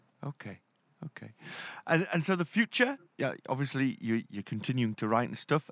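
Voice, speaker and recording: At a moderate pace, a man speaks in a dry, close sound with no echo, recorded very cleanly against a silent background. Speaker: radio show host. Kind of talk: radio interview.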